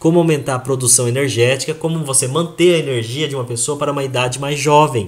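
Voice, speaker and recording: This man's voice is somewhat breathy. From Brazil (Japanese-Brazilian). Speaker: health product presenter. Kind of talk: sales presentation to audience. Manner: animated.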